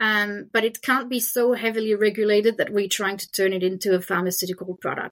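A woman speaks at a fairly quick pace with hardly any pauses, her medium pitch held in fairly even intonation. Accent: French. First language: French. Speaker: hemp food business representative. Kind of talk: interview.

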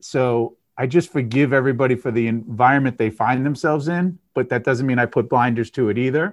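This man has an ordinary speaking voice at a medium pitch, with ordinary pitch variation and a fairly quick pace against a quiet background. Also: hardly any pauses. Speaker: podcast host and gut health expert. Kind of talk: casual interview chat.

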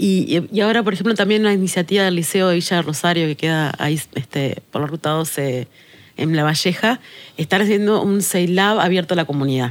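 Her loudness very even, a woman with a plain, everyday voice speaks at a fairly low pitch and a fairly quick pace with ordinary pitch variation. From Uruguay, Tacuarembó. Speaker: sustainability manager. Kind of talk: podcast interview.

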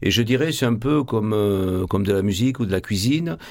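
A man with a Marseille accent, medium pitch, ordinary pitch variation and a fairly slow pace. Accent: Marseille accent, cultivated. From Marseille, France. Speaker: actor and stage director. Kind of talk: radio interview. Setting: studio.

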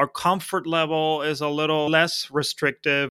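A man's fairly high pitch and bright, sharp tone, in a Spanish accent. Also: very clean recording, silent background. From Argentina, Buenos Aires. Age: 30s. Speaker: software agency founder. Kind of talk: casual interview.

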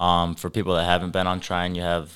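Recorded very cleanly against a silent background, a man with an American accent speaks at a very deep, low pitch. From southern Michigan. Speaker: college wrestler. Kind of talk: casual chat.

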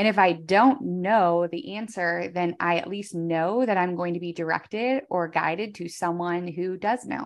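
With a normal speaking voice, a woman talks at a moderate pace and a fairly low pitch with ordinary pitch variation, the background quiet. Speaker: entrepreneur and podcaster. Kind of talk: casual interview chat.

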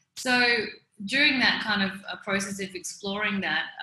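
With an Australian accent, a woman is talking. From Melbourne, Australia. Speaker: fashion brand founder. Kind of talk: interview. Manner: hesitant, many fillers.

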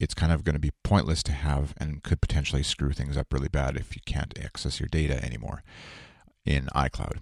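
A man talks with a very deep, low pitch, vocal fry and fairly even intonation. The recording is very clean with a silent background and a dry, close sound with no echo. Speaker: podcast host. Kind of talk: solo podcast monologue with ad read. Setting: home recording before work. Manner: casual, rambling with fillers.

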